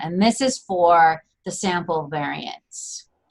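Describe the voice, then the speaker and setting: With a fairly low pitch, a woman speaks using lively intonation. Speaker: statistics instructor. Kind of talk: tutorial. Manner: halting.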